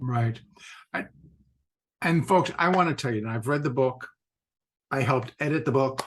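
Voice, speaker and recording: The speech moves at a moderate pace with long, frequent pauses. It is somewhat breathy, with ordinary pitch variation. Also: man, medium pitch for a man. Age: 60s. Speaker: podcast host and trader. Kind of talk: casual interview chat. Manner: animated.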